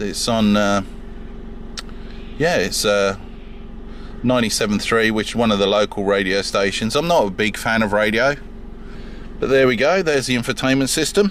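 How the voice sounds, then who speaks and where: Moderate speech from a man at a medium pitch, with ordinary pitch variation, long, frequent pauses and noticeable background noise. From UK. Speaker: car owner vlogger. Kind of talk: casual car walkaround review. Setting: in and around a parked car. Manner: halting, many fillers.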